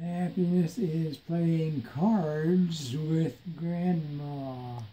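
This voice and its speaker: The delivery is very slow, and its pitch shows ordinary variation. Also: man. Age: 80s+. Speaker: retired father with Alzheimer's. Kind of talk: reading aloud from a book to family. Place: home room. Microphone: phone near.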